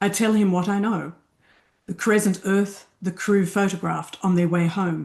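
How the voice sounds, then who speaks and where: Somewhat breathy and with an Australian accent, the speaker goes at a fairly slow pace against a quiet background. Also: woman. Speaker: fiction writer. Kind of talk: reading aloud.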